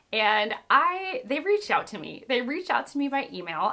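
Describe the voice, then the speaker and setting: Animated in tone, a woman speaks with an American accent and lively intonation at a moderate pace. Noticeable background noise can be heard. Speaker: booktuber. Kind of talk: casual book haul chat.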